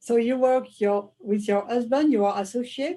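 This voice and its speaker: A woman speaks fairly slowly with a French accent. Her fairly high voice has a dark, mellow tone and ordinary pitch variation. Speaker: interviewer. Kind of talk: interview.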